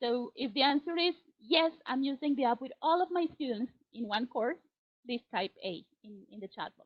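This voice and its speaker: A woman with a Spanish accent speaks at a moderate pace with a high pitch. Her intonation is lively, and her loudness swings widely. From Colombia. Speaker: teacher trainer. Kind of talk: webinar presentation. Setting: online webinar.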